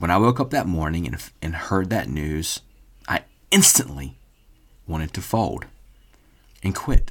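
With very deep, low pitch and vocal fry, a man speaks in an animated tone broken by long, frequent pauses. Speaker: podcast host. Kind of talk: solo monologue, motivational talk. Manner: emotional, voice cracking; animated, motivational.

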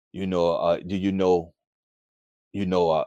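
Very deep, low-pitched male speech over a quiet background. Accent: American. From United States. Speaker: former prisoner turned author. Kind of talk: interview testimony. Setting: video call.

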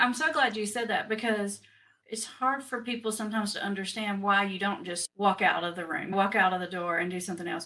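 The speaker is a woman of medium pitch with a Southern US accent. She talks at a fairly quick pace, her pitch varying in an ordinary way. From Tennessee, US South. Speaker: addiction specialist, podcast host. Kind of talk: interview.

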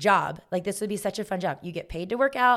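An ordinary speaking voice with an American accent and ordinary pitch variation, in a very clean recording with a silent background. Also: woman. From US South, Augusta area on Georgia–South Carolina border. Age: 30s. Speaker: fitness instructor and gym owner. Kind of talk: casual chat.

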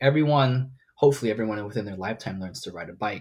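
Very fast speech from a man with ordinary pitch variation. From Hong Kong. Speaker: parkour athlete. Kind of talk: casual interview. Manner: halting, many fillers.

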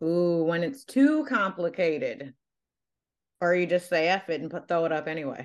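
Using lively intonation at a moderate pace, a woman has a fairly low voice that is a plain, everyday voice. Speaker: podcast host and nutrition coach. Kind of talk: casual chat. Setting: video call.

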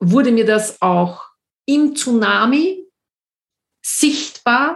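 A woman speaks in a somewhat breathy voice. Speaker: podcast host and coach. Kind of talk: personal storytelling monologue.

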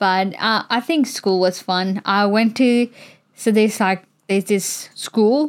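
A woman's plain, everyday voice at a fairly high pitch, with ordinary pitch variation, a moderate pace and very even loudness. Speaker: podcast guest. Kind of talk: casual chat.

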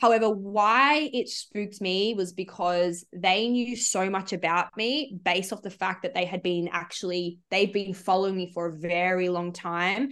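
With an Australian accent, a woman speaks at a medium pitch and a moderate pace, using ordinary pitch variation and hardly any pauses. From Sydney, Australia. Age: 20s. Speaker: psychology student and social enterprise founder. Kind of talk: casual interview.

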